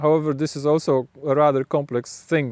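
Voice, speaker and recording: With a Polish accent, a man speaks at a fairly high pitch in a dry, close sound with no echo. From Poland. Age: adult. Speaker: video blogger. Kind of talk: reflective monologue. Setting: outdoors, late evening. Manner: halting, frequent self-corrections.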